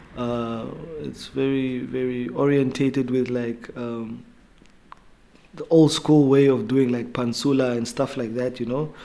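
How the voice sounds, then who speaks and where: Speaking at a fairly slow pace with a Namibian accent, a man keeps a medium pitch in monotone, flat intonation. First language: Oshiwambo. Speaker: rapper. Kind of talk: interview. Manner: halting.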